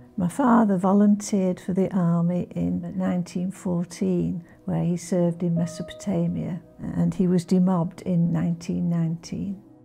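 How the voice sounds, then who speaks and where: Someone talks with a Manchester accent over noticeable background noise. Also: woman, moderate pace, hardly any pauses. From northern England, Manchester. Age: 80s+. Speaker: local resident. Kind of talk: oral history interview. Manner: halting, with repeated words.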